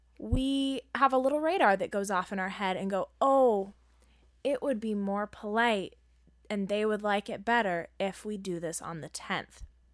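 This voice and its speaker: A woman with an ordinary speaking voice and medium pitch talks at a moderate pace with ordinary pitch variation, on a very clean recording with a silent background. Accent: American. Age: 20s. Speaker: podcast co-host. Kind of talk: casual chat.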